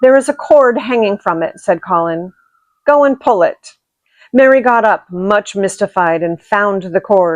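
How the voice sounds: The voice reads naturally. Its intonation is lively against a quiet background.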